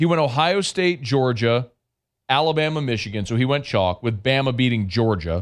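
A man's unremarkable speaking voice at medium pitch, moderate pace and very even loudness, with lively intonation against a quiet background. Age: 40s. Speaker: sports radio host. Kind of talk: casual chat.

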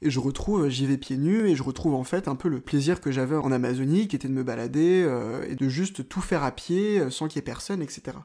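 Hardly pausing, a man with a fairly high pitch talks at a fairly quick pace with ordinary pitch variation, recorded very cleanly against a silent background. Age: 20s. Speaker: journalist. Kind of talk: personal travel storytelling. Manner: hesitant, with fillers.

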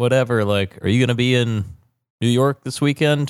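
A man with a normal speaking voice and a medium pitch speaks at a fairly slow pace with ordinary pitch variation, in a very clean recording against a silent background. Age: 30s. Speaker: podcast co-host. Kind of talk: casual chat.

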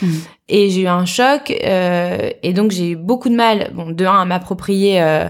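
A woman speaks at a medium pitch with ordinary pitch variation and a very slow pace. The recording is very clean, with a silent background. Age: 30s. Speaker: entrepreneur and mother. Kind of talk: interview.

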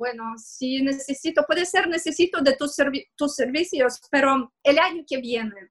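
Fairly slow, high-pitched talk from a woman, pitch varying in an ordinary way. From Russia, Moscow. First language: Russian (speaking Spanish). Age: 30s. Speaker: digital marketing consultant. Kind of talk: interview. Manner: halting.

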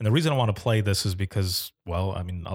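A man speaks at a fairly low pitch with fairly even intonation and a somewhat breathy voice. The sound is dry and close with no echo, on a very clean recording with a silent background. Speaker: podcast host, former 911 dispatcher. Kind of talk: casual chat. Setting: studio.

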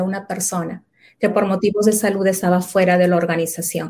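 A woman with a Peruvian accent speaks at a fairly quick pace, her tone dark and mellow and somewhat breathy. Her intonation stays fairly even. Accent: Peruvian Spanish (Lima). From Lima, Peru. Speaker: quality management consultant. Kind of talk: interview.

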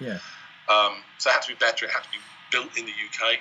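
Noticeable background noise runs under the voice. The speech moves at a fairly quick pace. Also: man. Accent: British. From Wales and Isle of Man. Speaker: microphone company CEO. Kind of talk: interview. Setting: video call.

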